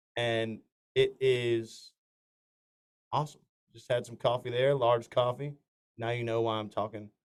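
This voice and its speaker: With a Southern US accent, a man speaks at a medium pitch and a fairly slow pace. His intonation is monotone and flat, broken by long, frequent pauses. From north Florida. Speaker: country singer. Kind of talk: casual interview. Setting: studio.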